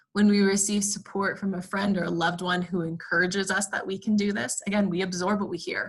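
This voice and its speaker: A woman at a medium pitch talks very fast, with fairly even intonation and hardly any pauses. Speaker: clinical therapist presenting resilience training. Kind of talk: webinar lecture.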